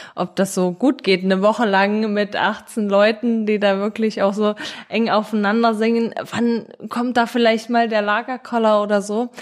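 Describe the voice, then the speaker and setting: This is an ordinary speaking voice, moving at a fairly slow pace. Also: woman. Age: 30s. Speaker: charity co-founder and project manager. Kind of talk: interview.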